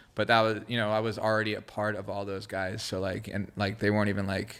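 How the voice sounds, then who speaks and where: A man speaks very fast with a Southern California accent. His fairly low voice stays monotone and flat. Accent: Southern California American English. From Israel, raised in Los Angeles area. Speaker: creative director and graffiti artist. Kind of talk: casual podcast interview.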